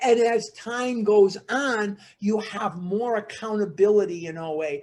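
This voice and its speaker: Spoken at a fairly slow pace with an American accent, the voice runs on with hardly any pauses over noticeable background noise. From Chicago, Illinois. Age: 60s. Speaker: recovery workshop speaker. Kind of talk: recovery talk / workshop.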